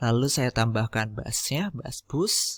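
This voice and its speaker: Recorded very cleanly against a silent background, dry and close with no echo, a man with a medium-pitched voice speaks at a very slow pace. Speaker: podcaster teaching audio editing. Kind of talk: tutorial.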